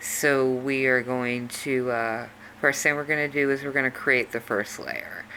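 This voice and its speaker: A woman speaks with a very deep, low pitch over noticeable background noise. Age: 40s. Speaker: video tutorial creator. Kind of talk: tutorial. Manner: casual, with fillers.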